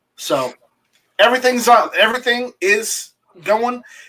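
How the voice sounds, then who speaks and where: Raised and projected, a man's bright, sharp voice moves at a moderate pace. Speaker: website owner, gun rights activist. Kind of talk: casual chat. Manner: halting, many repetitions.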